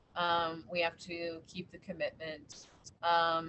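A speaker with an American accent talks at a very slow pace over light background noise. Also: woman. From Washington DC, US. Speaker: museum public programs head; panelist. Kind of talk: panel discussion. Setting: video call. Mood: earnest, thoughtful. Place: home room. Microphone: video call.

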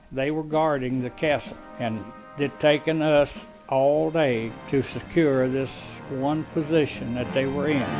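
With music in the background, a man with an American accent speaks fairly slowly at a fairly high pitch and with fairly even intonation. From United States. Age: 80s+. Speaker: war veteran. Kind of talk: interview answer.

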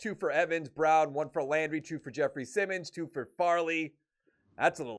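A man at a moderate pace with fairly even intonation, over a quiet background. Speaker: gaming YouTuber. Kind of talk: video game commentary. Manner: casual, conversational. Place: home room. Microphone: studio mic.

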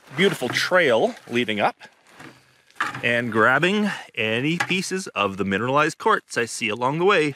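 Noticeable background noise accompanies a man talking at a moderate pace with very wide pitch swings, the sound dry with no echo. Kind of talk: casual vlog commentary. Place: forest. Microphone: phone near.

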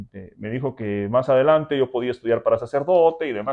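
A man talks at a moderate pace with lively intonation, and the background is quiet. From Guatemala. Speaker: interviewee. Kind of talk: testimony. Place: home room. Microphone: lapel.

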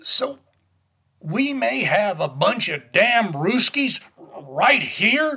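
Using a gruff, put-on character voice, a man talks at a fairly slow pace with lively intonation. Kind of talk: 1960s cold war radio drama. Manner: gruff, impatient, profane.

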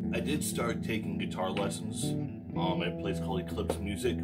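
Loud music plays behind a man speaking at a fairly quick pace. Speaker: musician vlogger. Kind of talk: casual vlog chat. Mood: reflective, personal. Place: home room. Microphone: phone near.

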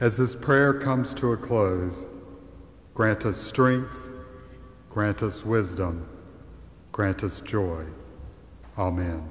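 A man with a fairly low pitch and lively intonation, speaking at a very slow pace with long, frequent pauses. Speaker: pastor. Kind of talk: pastoral prayer, solemn and fervent, led before a congregation. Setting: church. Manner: earnest, measured and reverent, with heartfelt pleading. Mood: solemn, measured. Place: church. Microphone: podium.

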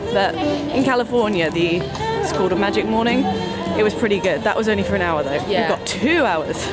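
A woman talks at a fairly quick pace over loud background music. The sound is dry, with no echo. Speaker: vlogger. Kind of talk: casual vlog chat. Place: street. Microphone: phone near.

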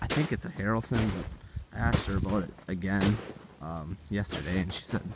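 A man's voice, dry with no echo, amid loud background noise. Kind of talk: casual vlog chat. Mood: relaxed, thoughtful. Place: open country. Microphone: phone near.

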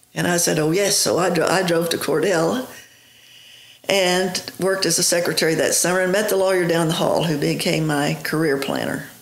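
A woman speaks at a moderate pace with a fairly low pitch, fairly even intonation and very even loudness. Audible room echo surrounds her voice. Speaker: interview guest. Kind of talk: interview answer. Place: office.

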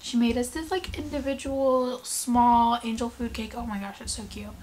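Light background noise sits behind a woman talking at a moderate pace with ordinary pitch variation. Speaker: vlogger. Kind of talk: casual vlog chat. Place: home room. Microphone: phone near.

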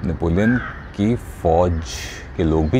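A man speaks very slowly with vocal fry and lively intonation. Noticeable noise sits in the background. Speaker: voice artist. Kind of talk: motivational storytelling.

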